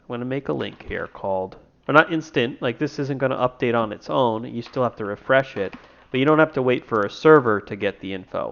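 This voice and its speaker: With an ordinary speaking voice, a man talks at a fairly quick pace, medium pitch and ordinary pitch variation, his loudness swinging in big ways. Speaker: indie game developer and streamer. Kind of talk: tutorial. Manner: casual, thinking aloud.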